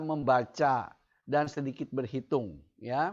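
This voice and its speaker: The background stays quiet. At a very slow pace, a man talks. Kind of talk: testimony. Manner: halting, with fillers.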